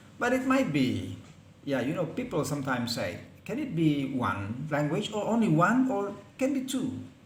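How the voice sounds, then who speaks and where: Pitch swings very widely as a man speaks at a fairly slow pace. Audible room echo and noticeable background noise fill the recording. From Indonesia, Palembang. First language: Palembangese. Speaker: lecturer. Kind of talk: lecture. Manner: halting.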